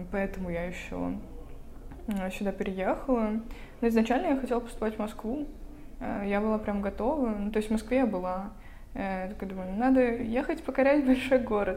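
A woman's fairly high, dark, mellow voice with ordinary pitch variation, long, frequent pauses and audible room echo. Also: moderate pace. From Russia, Vologda. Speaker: podcast co-host, university student. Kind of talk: casual chat.

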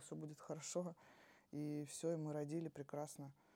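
A woman's tone is dark and mellow, and she talks at a moderate speed. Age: 30s. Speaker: mother and HIV awareness blogger. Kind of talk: podcast interview.

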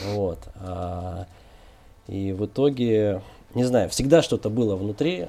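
Somewhat breathy, with a dark, mellow tone, a man speaks at a fairly low pitch with ordinary pitch variation. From Kazakhstan (Almaty), then Moscow region. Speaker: co-founder of a digital agency. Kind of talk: interview.

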